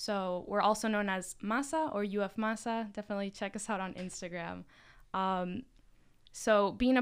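A woman with an unremarkable speaking voice, medium pitch, fairly even intonation and a moderate pace, on a very clean recording with a silent background. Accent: American. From Miami, Florida. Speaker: university student, student club leader. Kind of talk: casual podcast chat.

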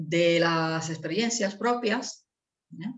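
A woman speaks with a fairly low pitch in an Italian accent. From northern Italy. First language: Italian (speaking Spanish). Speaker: language teacher and entrepreneur mother. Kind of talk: interview. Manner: halting.

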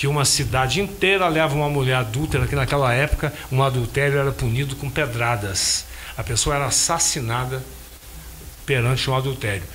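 A man speaks at a medium pitch and a fairly quick pace. Noticeable background noise and audible room echo are present. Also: ordinary pitch variation. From Minas Gerais, Brazil (Carangola). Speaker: singer and bandleader. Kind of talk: casual interview chat.

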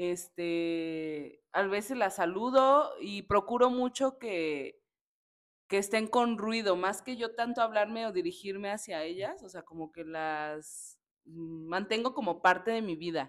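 A woman at medium pitch speaks at a very slow pace with lively intonation and big swings in loudness. The recording is very clean, with a silent background. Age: 30s. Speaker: preschool teacher. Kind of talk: casual chat.

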